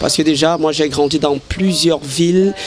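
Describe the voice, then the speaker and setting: A man talks at a fairly high pitch. Noticeable background noise runs throughout. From Cameroon, Ocean region. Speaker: interviewee. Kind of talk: vox pop interview. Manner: halting, repeats words.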